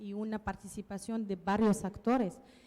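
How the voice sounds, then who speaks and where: A woman with a non-native accent speaks fairly slowly in a fairly high pitch. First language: not Spanish (speaking Spanish). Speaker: researcher, panelist. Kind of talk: panel discussion. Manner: halting, many fillers.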